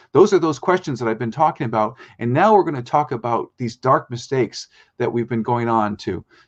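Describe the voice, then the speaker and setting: This man has a normal speaking voice at medium pitch with lively intonation. He talks at a fairly quick pace against a quiet background. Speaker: spoken word strategist, guest on a business show. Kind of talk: live business show presentation.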